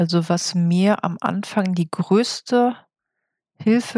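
Here a woman speaks with a somewhat breathy voice. Her intonation is fairly even. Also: dry, close sound with no echo, very clean recording, silent background. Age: 30s. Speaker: podcast guest sharing illness experience. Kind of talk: interview.

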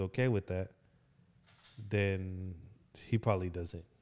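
A man with an American accent, a dark, mellow tone and a moderate pace. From Oklahoma. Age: 30s. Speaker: pastor and podcast host. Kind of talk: casual chat. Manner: animated.

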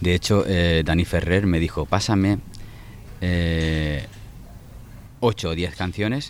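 A man with a very deep, low pitch speaks at a very slow pace with long, frequent pauses and ordinary pitch variation. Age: 40s. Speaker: singer-songwriter. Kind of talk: interview. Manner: halting, many repetitions and fillers.

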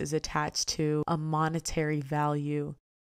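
A woman speaks with a very deep, low pitch and an American accent on a very clean recording with a silent background. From DMV area (Washington DC, Maryland, Virginia). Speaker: podcast host and influencer. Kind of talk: casual solo monologue.

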